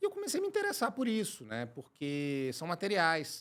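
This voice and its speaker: The voice has a Minas Gerais accent and a bright, sharp tone, moving at a fairly quick pace. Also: man. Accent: Minas Gerais accent, clearly noticeable. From Brazil, Minas Gerais (Belo Horizonte). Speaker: chemical engineer and company director. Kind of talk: podcast interview.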